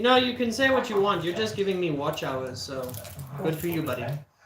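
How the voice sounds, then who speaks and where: A man with a high voice and very wide pitch swings talks at a moderate pace, with audible room echo and noticeable background noise. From South Africa. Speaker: streamer cooking on camera. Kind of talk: live-stream cooking tutorial with chat replies. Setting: home kitchen. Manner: casual, chatty.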